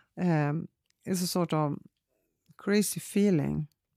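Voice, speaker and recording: A woman with a Swedish accent speaks very slowly, her fairly low voice dark and mellow with fairly even intonation. The recording is very clean and dry, close up with a silent background and no echo. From northern Sweden. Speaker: painter. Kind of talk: casual chat. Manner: halting.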